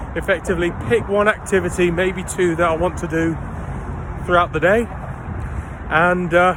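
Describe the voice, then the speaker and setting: A man speaks with a London accent at a moderate pace. His intonation is fairly even, and there is noticeable background noise. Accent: southern English (London). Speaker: travel vlogger. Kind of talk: casual vlog narration. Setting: outdoors.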